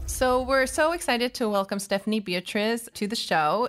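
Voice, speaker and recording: In a very clean recording with a silent background, a woman uses an ordinary speaking voice with ordinary pitch variation at a moderate pace. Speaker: podcast host. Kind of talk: interview podcast conversation.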